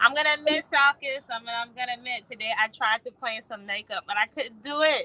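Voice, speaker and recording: A woman projects a raised, high-pitched voice at a fairly quick pace. Her pitch varies in an ordinary way, and the sound is dry and close with no echo. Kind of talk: casual chat. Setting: outdoors in a hammock.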